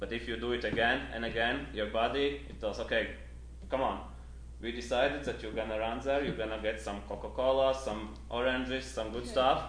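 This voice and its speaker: A man talks at a moderate pace, and audible room echo follows his words. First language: not Spanish (speaking Spanish). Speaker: trail runner. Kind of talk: interview. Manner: halting Spanish.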